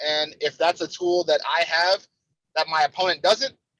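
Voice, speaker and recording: A man with an American accent, his bright, sharp tone in a dry, close sound with no echo. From Cleveland, Ohio, US Midwest. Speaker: pro wrestler. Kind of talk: interview. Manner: repeats words, halting at times.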